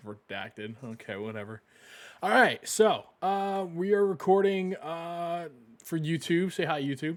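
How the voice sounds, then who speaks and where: A loud man with a high pitch, very wide pitch swings and a very slow pace, on a very clean recording with a silent background. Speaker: gaming streamer. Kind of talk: live stream commentary. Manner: filler-heavy, halting.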